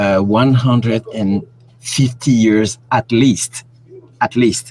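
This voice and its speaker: Very slowly and with very even loudness, a man in a French accent speaks at medium pitch with fairly even intonation. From Cameroon. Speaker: independent researcher. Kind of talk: interview. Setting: live stream. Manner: halting.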